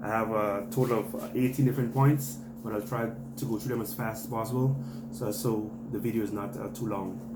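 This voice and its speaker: Noticeable background noise and audible room echo surround a voice moving at a fairly quick pace. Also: man, medium pitch for a man, fairly even intonation. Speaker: vlogger, parent giving driving advice. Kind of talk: tutorial. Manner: fast; hesitant, many fillers.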